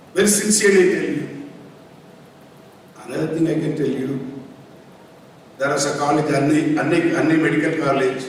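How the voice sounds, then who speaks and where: A man's fairly high voice at a fairly quick pace, with fairly even intonation, long and frequent pauses, audible room echo, and noticeable background noise. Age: 70s. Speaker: medical college founder. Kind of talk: speech at ceremony.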